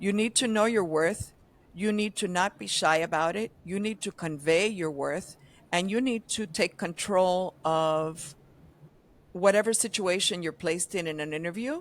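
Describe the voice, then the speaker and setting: A woman in an unremarkable speaking voice, medium pitch, ordinary pitch variation and a moderate pace, on a very clean recording with a silent background. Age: 60s. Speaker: advertising veteran, agency founder. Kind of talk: podcast interview. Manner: conversational, many filler ums.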